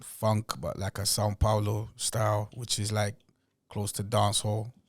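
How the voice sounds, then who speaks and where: A somewhat breathy voice on a very clean recording with a silent background. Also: man. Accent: London. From Angola and Portugal. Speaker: rapper. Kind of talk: casual chat.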